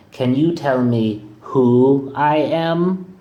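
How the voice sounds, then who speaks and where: The voice is a man's put-on character voice. It sits fairly high. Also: ordinary pitch variation. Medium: read story. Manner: changeable, exaggerated.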